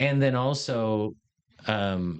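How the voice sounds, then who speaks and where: A man talks with an American accent. His pitch varies in an ordinary way. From Riverside, California. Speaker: real estate developer and fund manager. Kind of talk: podcast interview.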